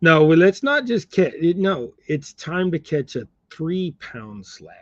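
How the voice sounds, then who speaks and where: In a Southern US accent, a man with a fairly high pitch talks at a very slow pace with very wide pitch swings, recorded dry and close with no echo. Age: 50s. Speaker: fishing livestreamer tying crappie jigs. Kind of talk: casual livestream chat. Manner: casual, rambling.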